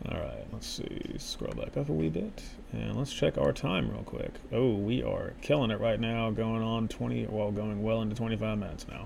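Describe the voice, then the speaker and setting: A man talks at a moderate speed, and audible echo from the room hangs around his words. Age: 30s. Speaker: podcast host. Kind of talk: casual commentary while reading an article aloud. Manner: animated. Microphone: very close to the mic.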